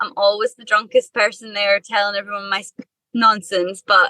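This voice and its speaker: A woman's bright, sharp voice with a Scottish accent at a moderate pace, in a dry, close sound with no echo. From Scotland, Perthshire. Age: 20s. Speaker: musician. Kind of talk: interview.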